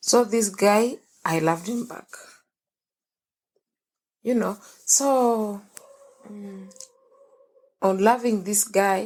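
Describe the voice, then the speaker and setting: A shaky woman's voice at medium pitch, very slow, with long, frequent pauses, fairly even intonation and big swings in loudness. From Kenya. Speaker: young mother. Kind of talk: podcast interview, personal life story. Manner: emotional, quivering.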